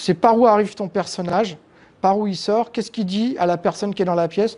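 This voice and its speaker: A man talks at a moderate pace. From Paris suburbs (banlieue), France. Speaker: comic book artist. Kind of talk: interview. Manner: halting, many repetitions and hesitations.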